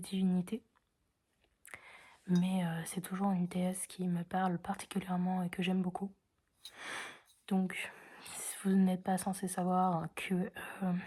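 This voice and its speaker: Her tone dark and mellow, a woman at medium pitch speaks at a fairly slow pace. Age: 20s. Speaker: vlogger. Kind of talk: casual vlog. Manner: quiet, can't speak loudly.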